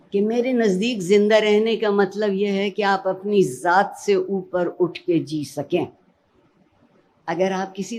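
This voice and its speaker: A woman talks in an ordinary speaking voice, at medium pitch and with ordinary pitch variation. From Pakistan. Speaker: educationist and Urdu language expert. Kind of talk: motivational speech.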